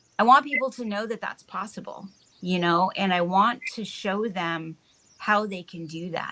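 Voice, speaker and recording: A woman speaks at a moderate pace in an ordinary speaking voice. Her pitch sits in the middle range. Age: 60s. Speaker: wellness business owner. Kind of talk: casual chat. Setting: live stream.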